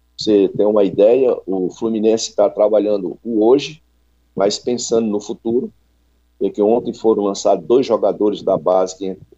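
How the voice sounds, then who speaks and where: This man has a fairly low pitch and a dark, mellow tone. He talks at a moderate pace with fairly even intonation. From Ceará, Brazil (Fortaleza). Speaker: football coach. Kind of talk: radio interview.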